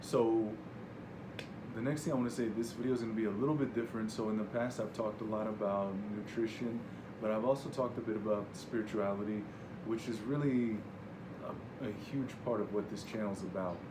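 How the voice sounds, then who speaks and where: Over noticeable background noise and audible room echo, a man at medium pitch speaks at a fairly quick pace with fairly even intonation and long, frequent pauses. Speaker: wellness video creator. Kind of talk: casual vlog talk. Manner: speaking louder than normal; hesitant, many fillers and repetitions. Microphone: no microphone, recording without mic.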